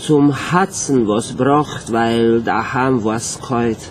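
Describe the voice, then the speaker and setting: A man with a Viennese accent, over light background noise. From Romania. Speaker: theatre scenic painter. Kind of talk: poetry reading. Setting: live concert stage. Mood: nostalgic, tender. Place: stage. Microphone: camera far.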